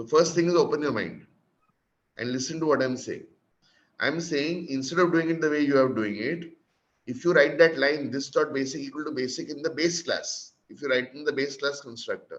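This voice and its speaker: With an Indian accent, a man talks at a fairly high pitch with fairly even intonation and big swings in loudness, in audible room echo. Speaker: programming instructor. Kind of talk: lecture. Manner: fast.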